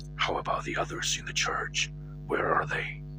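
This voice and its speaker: A cartoonish character voice whispering at a moderate pace over loud background noise. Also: man. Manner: terse, inquisitive.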